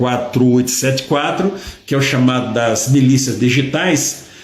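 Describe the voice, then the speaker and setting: Audible room echo and noticeable background noise around a man's speech. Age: 60s. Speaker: retired judge, political commentator. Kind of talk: live stream commentary. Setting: live social media broadcast.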